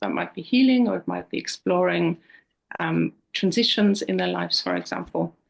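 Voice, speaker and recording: A woman is speaking. She has an Austrian accent. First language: German. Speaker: counsellor. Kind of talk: interview. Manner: hesitant, with frequent repetitions.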